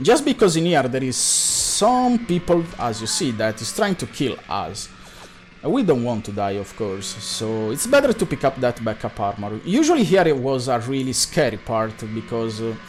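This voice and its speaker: A man with a medium pitch and an Italian accent, moderate pace, very wide pitch swings, music in the background. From Italy. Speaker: video game speedrunner. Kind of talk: live gameplay commentary.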